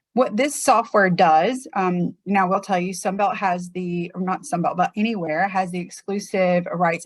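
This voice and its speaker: A somewhat breathy woman at a fairly quick pace with ordinary pitch variation. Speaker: real estate trainer. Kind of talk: online presentation tutorial. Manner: casual, filler-heavy.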